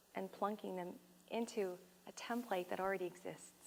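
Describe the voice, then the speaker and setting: A woman speaks with a Canadian accent. Her tone is animated. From Canada, Toronto. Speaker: funeral celebrant and speaker. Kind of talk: public talk.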